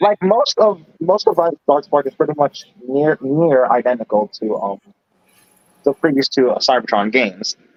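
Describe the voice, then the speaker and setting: With an American accent, a man speaks at a moderate pace and a fairly high pitch, his voice swinging very widely in pitch. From New York. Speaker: live streamer. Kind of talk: casual chat. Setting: live stream voice chat.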